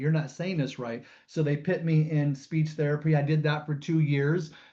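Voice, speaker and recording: A man with a Californian accent speaks at a fairly high pitch in a dark, mellow tone. His voice is somewhat breathy and his pace fairly slow. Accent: General American, Californian. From US West Coast, San Jose, California. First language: American Sign Language. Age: 50s. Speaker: comedian. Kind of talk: webinar talk. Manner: halting, with fillers.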